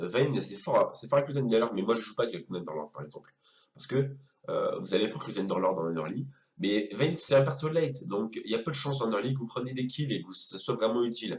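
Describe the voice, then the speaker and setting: A man at medium pitch, somewhat breathy, speaking at a fairly quick pace with lively intonation. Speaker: gaming youtuber. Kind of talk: tutorial. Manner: hesitant, many fillers.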